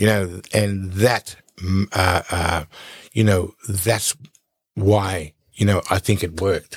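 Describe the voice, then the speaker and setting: In a very clean recording with a silent background and a dry, close sound with no echo, a man speaks very slowly with long, frequent pauses, his fairly low, somewhat breathy voice held in fairly even intonation. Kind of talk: casual interview.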